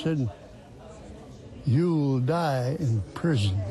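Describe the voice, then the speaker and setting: Very wide pitch swings from a male speaker, with noticeable background noise. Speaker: elderly prison inmate. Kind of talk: interview.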